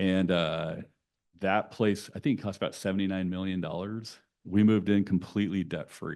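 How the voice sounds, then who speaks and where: In a West Coast accent, the speaker uses monotone, flat intonation against a quiet background. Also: man. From California (Santa Cruz). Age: 50s. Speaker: nonprofit executive. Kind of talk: conversational talk to an audience.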